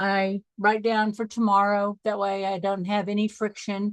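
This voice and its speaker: Recorded dry and close with no echo, the speaker has a normal speaking voice with an American accent. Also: woman. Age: 60s. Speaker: life coach. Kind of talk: online training call.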